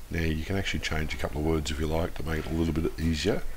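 With ordinary pitch variation, a man talks in a space with audible room echo and noticeable background noise. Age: 40s. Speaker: educational video creator. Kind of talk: tutorial.

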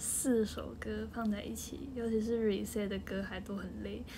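A woman speaks at a moderate pace with a Taiwanese accent. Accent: Taiwanese Mandarin. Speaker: idol group member. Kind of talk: casual livestream chat. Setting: home livestream. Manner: animated.

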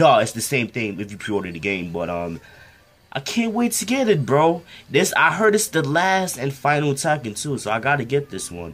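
A man speaks at a moderate pace and a medium pitch, with faint music playing in the background. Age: young. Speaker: reaction video creator. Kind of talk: casual reaction to video. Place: home room. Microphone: webcam.

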